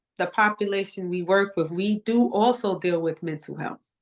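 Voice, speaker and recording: This woman speaks with a New York accent. Her pitch variation is ordinary. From Bronx, New York. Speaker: educator, nonprofit founder. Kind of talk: interview answer.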